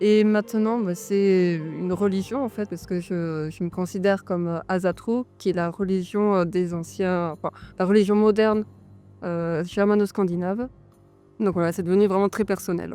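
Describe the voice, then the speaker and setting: A woman talks at a moderate pace, using a medium pitch and fairly even intonation. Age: 30s. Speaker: author and herbalist farmer. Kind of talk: interview. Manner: hesitant, many fillers.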